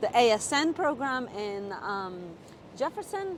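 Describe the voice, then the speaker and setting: A woman with a Czech accent swings her pitch very widely while noticeable background noise plays behind her. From Czech Republic. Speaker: nurse practitioner. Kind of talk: interview.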